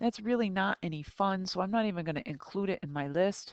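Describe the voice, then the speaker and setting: A woman with a normal speaking voice and ordinary pitch variation, dry and close with no echo. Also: quiet background. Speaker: math teacher. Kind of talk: recorded tutorial lesson.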